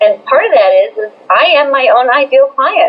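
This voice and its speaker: A woman keeps a moderate pace while noticeable background noise carries on behind her. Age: 60s. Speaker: business coach. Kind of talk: interview.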